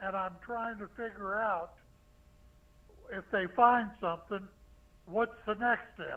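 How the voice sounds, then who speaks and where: Very slowly, a man speaks in a high voice. His intonation stays fairly even. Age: 80s+. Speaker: caller. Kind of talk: call-in question.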